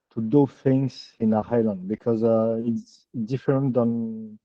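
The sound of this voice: A man talks slowly at medium pitch with fairly even intonation, in a dry, close sound with no echo.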